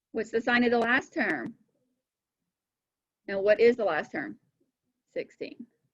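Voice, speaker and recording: Vocal fry from a woman at a fairly slow pace, broken by long, frequent pauses. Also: fairly high pitch for a woman, lively intonation. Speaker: math teacher. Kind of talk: lecture.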